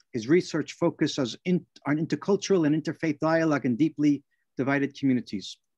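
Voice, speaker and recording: A man at a fairly quick pace with ordinary pitch variation, in a quiet background. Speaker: event host introducing a guest. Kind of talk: speaker introduction. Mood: warm, friendly. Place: home room. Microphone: video call.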